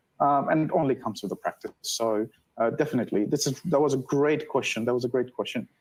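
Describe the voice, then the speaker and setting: A man with a non-native accent talks at a fairly high pitch, with ordinary pitch variation. The recording is very clean, with a silent background. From non-English-speaking background. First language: not English. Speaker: data analytics professional, livestream co-host. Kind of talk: live stream panel discussion.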